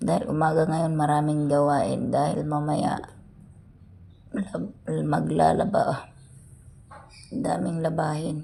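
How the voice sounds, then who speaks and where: A woman speaks at a very slow pace with long, frequent pauses, with audible room echo and noticeable background noise. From Philippines, rural province. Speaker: vlogger. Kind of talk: casual vlog narration. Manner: casual, chatty.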